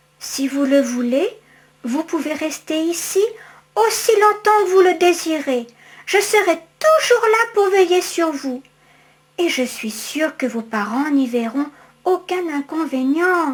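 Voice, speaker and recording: A woman puts on a character voice at an extremely high pitch, speaking at a fairly slow pace with long, frequent pauses. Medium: read story. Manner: bold, friendly.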